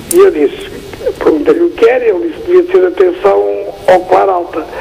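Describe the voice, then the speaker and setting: With noticeable background noise present, a man speaks at a moderate pace. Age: 70s. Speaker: TV viewer caller. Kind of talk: phone-in question. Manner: halting.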